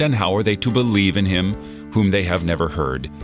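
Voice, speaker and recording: With music in the background, a man with a fairly low pitch talks at a moderate pace using lively intonation. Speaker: Lutheran pastor giving a devotional. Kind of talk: radio devotional.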